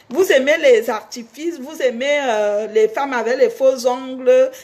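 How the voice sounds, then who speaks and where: A woman speaks at a high pitch. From Cameroon. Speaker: singer and online personality. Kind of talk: casual monologue to fans.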